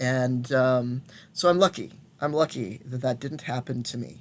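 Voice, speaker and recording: A man's medium-pitched voice at a moderate pace, in a very clean recording with a silent background. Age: 50s. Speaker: intersex elder and shaman telling life story. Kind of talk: personal testimony. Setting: recorded alone at home. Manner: halting, many fillers and restarts. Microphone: old laptop.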